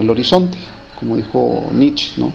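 There is noticeable background noise. Through it, a man's voice comes across. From Mexico, Mazatlán, Sinaloa. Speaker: writer. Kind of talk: interview. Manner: halting.

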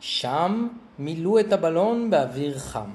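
Lively intonation in plain reading aloud.

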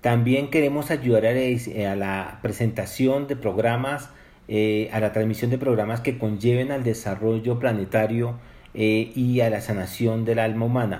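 A man's dark, mellow, medium-pitched voice with fairly even intonation at a fairly slow pace. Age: 50s. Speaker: poet and spiritual author. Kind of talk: interview.

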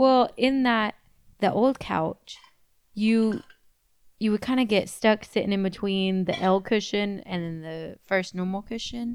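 Her voice is a plain, everyday voice at a medium pitch. The woman speaks at a fairly slow pace with ordinary pitch variation. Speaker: podcast co-host. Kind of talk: casual chat.

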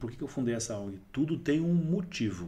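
Lively intonation and a somewhat breathy, dark, mellow tone mark this man's voice at a moderate pace. Audible room echo surrounds him. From Brazil, Diadema (São Paulo). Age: 40s. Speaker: entrepreneur, NGO founder. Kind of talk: casual interview. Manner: animated.

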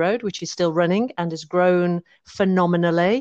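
In a West Midlands accent, a woman with a fairly low pitch speaks at a moderate pace and with fairly even intonation, in a dry, close sound with no echo and a quiet background. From West Midlands, England. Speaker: business improvement district manager. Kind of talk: interview. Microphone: connection cutouts.

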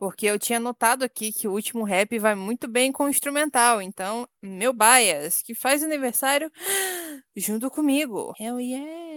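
A woman with a high pitch speaks at a moderate pace, with a dry, close sound with no echo. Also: ordinary pitch variation. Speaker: podcast co-host. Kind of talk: casual chat. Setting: remote recording.

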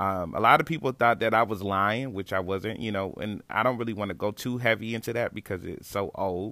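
A man with an American accent talks at a fairly quick pace in an unremarkable speaking voice, with medium pitch and ordinary pitch variation. The recording is very clean and the background silent. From US, Niagara Falls, New York. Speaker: podcast host, former blogger. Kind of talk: casual monologue.

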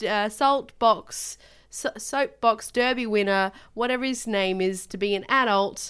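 A woman with an Australian accent and fairly high pitch speaks at a fairly slow pace with ordinary pitch variation, recorded very cleanly against a silent background. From Australia, Tasmania. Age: 20s. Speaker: podcast co-host. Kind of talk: casual chat. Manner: animated.

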